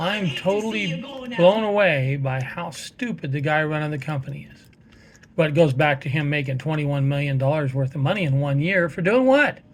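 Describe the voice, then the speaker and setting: Here a man speaks at a fairly high pitch. His pace is moderate and his intonation lively. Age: 60s. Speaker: gaming vlogger. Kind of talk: casual monologue. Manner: hesitant, many fillers.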